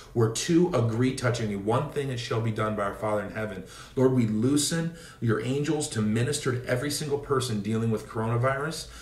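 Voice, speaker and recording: There is audible room echo as a man with an American accent speaks at a fairly quick pace with ordinary pitch variation. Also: medium pitch for a man. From US Pacific Northwest, Seattle area. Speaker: evangelist preacher; minister. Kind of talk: informal preaching; prayer and exhortation livestream. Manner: hesitant fillers. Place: home room. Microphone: phone near.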